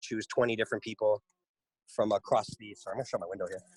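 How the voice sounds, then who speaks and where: The recording is dry and close, with no echo. A man is talking. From Canada, Toronto area. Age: 30s. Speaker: rapper. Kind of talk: interview. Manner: casual, filler-heavy.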